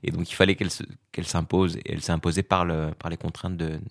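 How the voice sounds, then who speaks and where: A man's very deep, low voice at a fairly quick pace with fairly even intonation, dry and close with no echo, on a very clean recording with a silent background. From Morocco (Fès). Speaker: comedian. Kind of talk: interview conversation. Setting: theatre dressing room.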